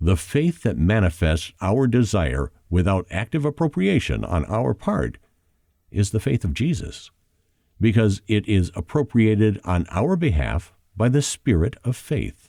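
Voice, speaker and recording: Very wide pitch swings and vocal fry mark this dark, mellow voice at a fairly slow pace, with very even loudness, a dry, close sound with no echo and a very clean recording with a silent background. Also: man, fairly low pitch for a man. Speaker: audiobook narrator. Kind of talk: audiobook narration of a spiritual nonfiction book.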